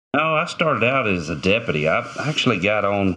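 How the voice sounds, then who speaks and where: A man speaks with an Arkansas accent and a bright, sharp tone. His pace is moderate, and his pitch varies in an ordinary way. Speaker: former game warden, shooting survivor. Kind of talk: interview storytelling.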